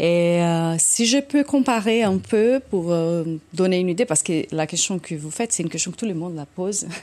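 A woman speaks in a Brazilian accent at a fairly low pitch. Her intonation is lively and her pace moderate. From Brazil, São Paulo. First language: Portuguese (speaking French). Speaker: orchestra conductor. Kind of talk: casual chat.

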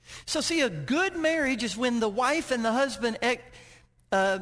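This man's pitch is extremely high. He speaks at a moderate pace with lively intonation. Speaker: guest preacher. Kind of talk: sermon. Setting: church with congregation. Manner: loud, hollering when excited.

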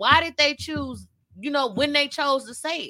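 A woman talks at a moderate pace in a raised, projected voice, high-pitched with a bright, sharp tone and ordinary pitch variation. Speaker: podcast co-host. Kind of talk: casual chat.

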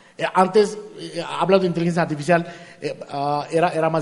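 A man speaks at a high pitch, with noticeable background noise in the recording. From India. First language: not Spanish (from India) (speaking Spanish). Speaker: artificial intelligence engineer. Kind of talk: interview. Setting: live event with audience. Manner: halting.

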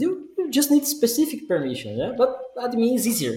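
Against noticeable background noise, a man with a Portuguese accent speaks at a fairly quick pace. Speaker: podcast host. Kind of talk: casual chat.

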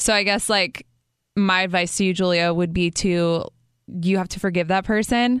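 Against a quiet background, a woman with an unremarkable speaking voice talks at a moderate pace, medium in pitch with fairly even intonation. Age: 30s. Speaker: faith podcast host. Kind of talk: casual chat.

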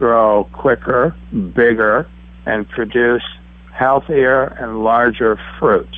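Pitched fairly low for a man, this male voice is an unremarkable speaking voice with ordinary pitch variation. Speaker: herbalist and alchemist. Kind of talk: casual interview chat.

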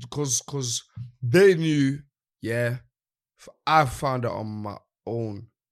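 A man with a London accent speaks at a very slow pace, with long, frequent pauses. His pitch is medium, its variation ordinary, and his loudness swings a lot. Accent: London Multicultural English. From East London. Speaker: drill rapper. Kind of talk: casual chat.

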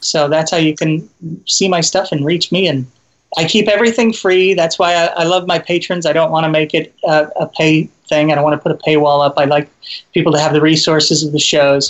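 A man speaks in a plain, everyday voice, pitched fairly high for a man. His intonation is fairly even and his loudness stays very even. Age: 50s. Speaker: comedian and video creator. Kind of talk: interview.

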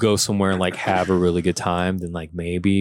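A man with an American accent, dry and close with no echo, on a very clean recording with a silent background. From Louisiana. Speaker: comedian. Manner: laid-back.

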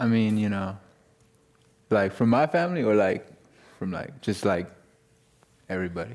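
Over a silent background in a very clean recording, a man with a fairly low pitch and lively intonation talks at a moderate pace, leaving long, frequent pauses. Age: young. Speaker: college student. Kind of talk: panel discussion. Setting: stage with audience. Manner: casual, hesitant.

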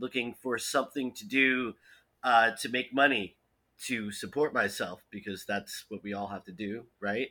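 A man with an American accent speaks at medium pitch in a bright, sharp tone and at a fairly slow pace. The recording is very clean, with a silent background. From New Jersey. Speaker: podcast guest, recent college graduate. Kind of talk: casual chat.

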